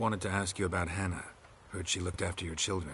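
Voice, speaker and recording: A put-on character voice from a man, very deep and low in pitch, delivered at a very fast pace over clear background noise. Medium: video game. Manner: terse, clipped, deadpan.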